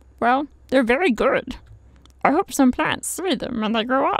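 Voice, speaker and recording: In a high-pitched put-on character voice, a female-sounding speaker talks at a moderate pace. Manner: shy, hesitant.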